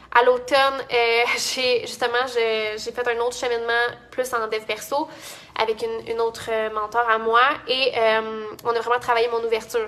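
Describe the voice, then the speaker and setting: A bright, sharp, high-pitched woman's voice with a Quebec accent. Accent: Québécois French. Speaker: entrepreneur and business coach. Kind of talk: casual vlog talk. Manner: fast; many fillers and restarts.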